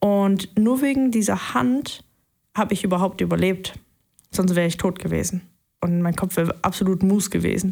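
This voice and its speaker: Speaking at a moderate pace with long, frequent pauses, a woman has a somewhat breathy, dark, mellow tone, very even loudness and ordinary pitch variation on a very clean recording with a silent background. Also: medium pitch for a woman. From Saxony, eastern Germany (Leipzig). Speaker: airline and private jet pilot. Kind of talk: interview testimony.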